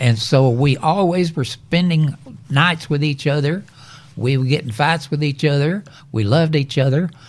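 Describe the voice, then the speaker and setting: A man with a West Texas accent speaks at a fairly high pitch with ordinary pitch variation. His voice is somewhat breathy and very even in loudness. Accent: West Texas drawl. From West Texas, Lubbock. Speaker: retired electrician. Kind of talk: casual family interview.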